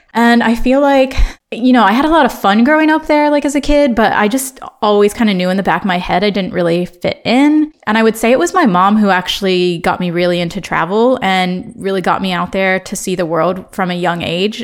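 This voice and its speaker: A woman with a Midwestern accent at a fairly quick pace. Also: medium pitch for a woman. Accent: American Midwestern. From Ohio, US Midwest. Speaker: podcast host. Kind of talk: casual monologue. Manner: casual, chatty.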